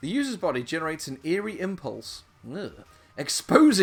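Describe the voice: What you hear is a plain reading aloud of text.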